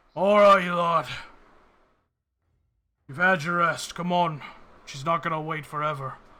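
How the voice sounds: In a put-on character voice, a man sounds gruff and high-pitched, leaving long, frequent pauses on a very clean recording with a silent background. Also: moderate pace.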